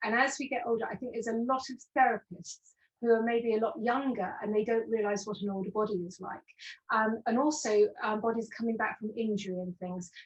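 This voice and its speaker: Talking fairly quickly, a woman with a fairly high, somewhat breathy voice keeps her intonation fairly even while her loudness swings widely. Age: 60s. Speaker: postural alignment specialist. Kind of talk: interview webinar.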